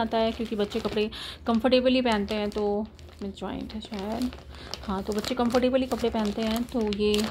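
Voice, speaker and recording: A woman talks at a moderate pace as light background noise plays behind her. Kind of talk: casual shopping haul vlog. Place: home room. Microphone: phone near.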